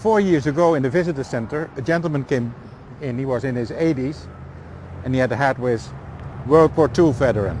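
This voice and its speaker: A man with a Dutch accent, lively intonation and a fairly quick pace. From eastern Netherlands. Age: 60s. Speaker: tour guide. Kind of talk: guided walking tour. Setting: outdoors.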